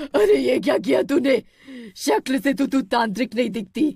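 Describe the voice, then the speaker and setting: This is a cartoonish character voice with fairly high pitch. The pace is moderate. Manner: menacing, mocking.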